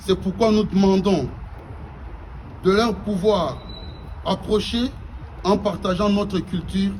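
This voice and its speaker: Against noticeable background noise, the speaker keeps a moderate pace and fairly even intonation. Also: man. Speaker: Congolese community representative. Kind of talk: formal public speech. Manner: formal.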